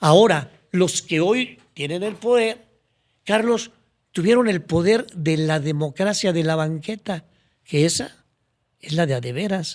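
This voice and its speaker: On a very clean recording with a silent background, a man speaks at a fairly slow pace in a high pitch with lively intonation. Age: 70s. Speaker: former public official. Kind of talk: podcast interview.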